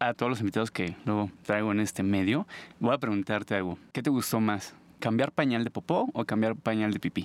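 A man with a Mexico City accent speaks at a fairly quick pace and a fairly low pitch, with ordinary pitch variation and very even loudness. The recording is very clean with a silent background, and the sound is dry and close with no echo. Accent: Mexican Spanish (Mexico City). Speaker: podcast host, visual artist. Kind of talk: casual interview. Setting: studio.

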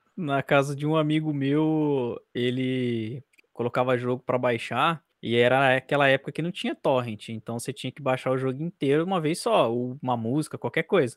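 A man with medium pitch and an ordinary speaking voice talks at a moderate pace with fairly even intonation. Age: 20s. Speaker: podcast host, journalism student. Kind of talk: casual chat.

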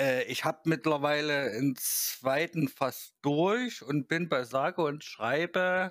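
Very slowly, a man speaks at a fairly high pitch with ordinary pitch variation, on a very clean recording with a silent background. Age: 30s. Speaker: gaming website host. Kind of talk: casual chat.

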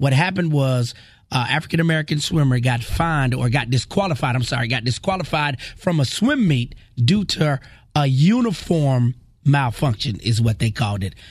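With a fairly high pitch and a somewhat breathy tone, this man's intonation stays lively. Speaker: radio host. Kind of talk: radio DJ patter. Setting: studio. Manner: animated, rapid-fire, jokey banter.

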